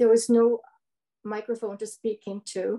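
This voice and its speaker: The background is quiet as a woman speaks with a Canadian accent. Her pitch is fairly high and her tone dark and mellow. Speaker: local resident, community activist. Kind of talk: webinar discussion. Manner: halting, repeating words.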